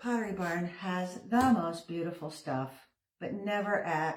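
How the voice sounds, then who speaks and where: A fairly low-pitched woman at a very slow pace, lively in intonation, with audible room echo. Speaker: craft video creator. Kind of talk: casual crafting tutorial chat. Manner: chatty, rambling with fillers.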